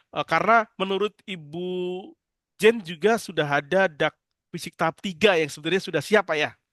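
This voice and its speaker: Talking at a fairly quick pace, a man with a high voice is heard in a dry, close recording with no echo. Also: ordinary pitch variation. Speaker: government finance officer. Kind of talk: online meeting discussion. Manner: halting; loud.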